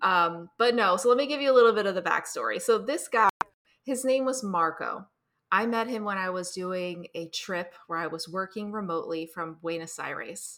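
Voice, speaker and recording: Speaking at a moderate pace, a woman with an American accent has a medium pitch, ordinary pitch variation and a bright, sharp tone. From US, New Jersey. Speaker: author and mindful dating coach. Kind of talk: interview conversation.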